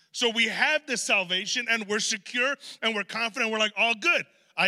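The speaker has a natural reading voice. The pitch varies in an ordinary way.

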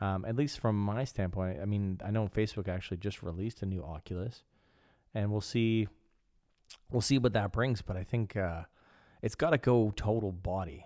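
On a very clean recording with a silent background, a man with a Canadian accent speaks at a fairly low pitch. His dark, mellow tone carries ordinary pitch variation. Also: moderate pace. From Canada. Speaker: podcast host. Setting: studio.

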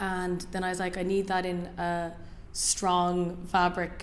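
A woman speaks with an Irish accent at a medium pitch. Her intonation stays monotone and flat. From Ireland. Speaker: fashion designer. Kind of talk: interview. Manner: hesitant, many fillers.

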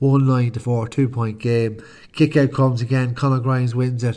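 A man speaks in an Irish accent with a dark, mellow tone at a medium pitch. His intonation stays monotone and flat against a quiet background. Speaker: podcast host and sports fan. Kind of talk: sports commentary, recapping the match.

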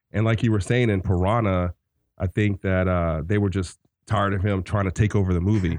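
A man with an American accent and a very deep, low pitch, fairly quick, with fairly even intonation against a quiet background. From US South. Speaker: movie podcast co-host. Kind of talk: casual chat.

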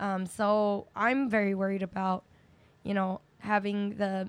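A woman with an American accent speaks in a monotone, flat intonation. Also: very clean recording, silent background. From New York City, Chinatown. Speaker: special education teacher and activist. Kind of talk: casual interview.

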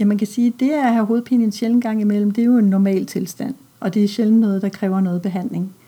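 A woman speaks at a very fast pace with a fairly high pitch and fairly even intonation. Her tone is dark and mellow, and somewhat breathy. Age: 50s. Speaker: pediatrician. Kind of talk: interview. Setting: doctor's office.

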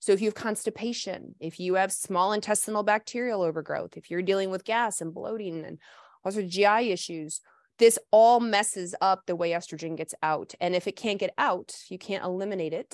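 A woman in a plain, everyday voice speaks with an American accent at medium pitch and a fairly quick pace. Her intonation is fairly even, the sound dry and close with no echo, over a quiet background. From US South. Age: 40s. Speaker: naturopathic doctor. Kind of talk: casual interview. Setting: live stream.

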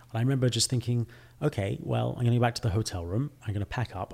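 A somewhat breathy voice on a very clean recording with a silent background. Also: man. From England. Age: young. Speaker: fashion company CEO. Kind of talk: interview conversation.

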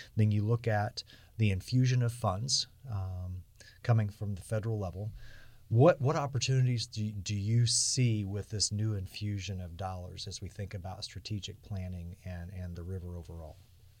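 A man with an American accent speaks at a moderate pace and fairly low pitch, with ordinary pitch variation. His voice is somewhat breathy and shows big swings in loudness. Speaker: podcast host. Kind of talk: interview conversation.

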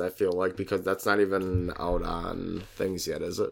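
Lively intonation and a moderate pace mark this man's unremarkable speaking voice. The recording is very clean, with a silent background. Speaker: podcast co-host. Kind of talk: casual chat, joking banter. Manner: joking, laughs often.

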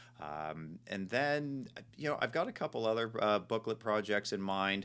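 At a moderate pace, a man with an American accent speaks in a bright, sharp tone. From Northern California, Marin County. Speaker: graffiti artist and zine maker. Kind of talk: casual interview.

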